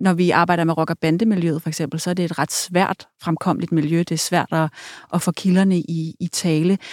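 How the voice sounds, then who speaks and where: A woman's fairly low pitch, with monotone, flat intonation and very even loudness, in a dry, close sound with no echo. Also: moderate pace. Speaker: podcast host. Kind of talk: interview. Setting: studio.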